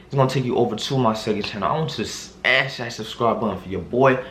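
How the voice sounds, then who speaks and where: There is noticeable background noise around this man. His voice carries an audible room echo. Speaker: YouTuber giving hair care tips. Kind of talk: casual vlog tutorial. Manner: casual, filler-heavy.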